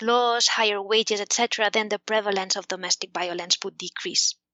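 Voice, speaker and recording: A woman with a Spanish accent, medium-pitched and monotone with flat intonation, at a moderate pace with hardly any pauses. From Spain. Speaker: economics professor. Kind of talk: interview. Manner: hesitant, many fillers.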